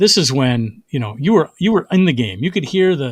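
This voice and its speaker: Speaking fairly quickly in an American accent, a man with a fairly high, somewhat breathy voice swings very widely in pitch on a very clean recording with a silent background. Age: 60s. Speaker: comedian. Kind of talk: casual chat. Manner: halting.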